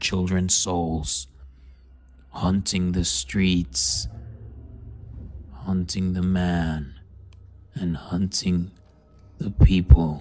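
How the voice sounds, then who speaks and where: A put-on character voice, very deep and low, at a very slow pace. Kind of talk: horror narration. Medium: read story. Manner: solemn, measured.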